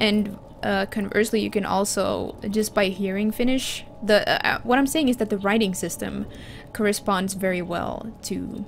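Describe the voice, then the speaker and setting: Music plays in the background as a woman speaks with a Finland Swedish accent. Her pitch is medium and her intonation fairly even. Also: moderate pace. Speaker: gaming streamer. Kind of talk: casual live-stream chat. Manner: halting, many fillers and restarts.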